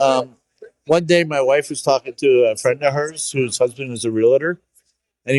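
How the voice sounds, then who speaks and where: This is an ordinary speaking voice, a man's, fairly high in pitch with ordinary pitch variation. He keeps a moderate pace, and the sound is dry and close with no echo. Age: 60s. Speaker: bonsai nursery owner. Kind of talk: casual interview. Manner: casual, with fillers and false starts.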